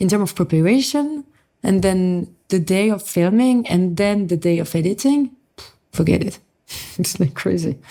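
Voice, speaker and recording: With a French accent, a woman speaks at a moderate pace and medium pitch, her tone dark and mellow and her loudness very even. Her intonation is lively, and she takes long, frequent pauses. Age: young. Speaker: motorsport influencer. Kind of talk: podcast interview.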